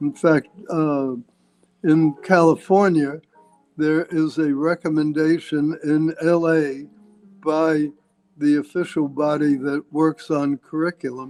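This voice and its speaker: A man's fairly high, monotone voice with flat intonation and an American accent, very slow with long, frequent pauses, dry and close with no echo, music in the background. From North Bergen, New Jersey. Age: 80s+. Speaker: Wall Street financier, former Secretary of Commerce. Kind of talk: interview answer.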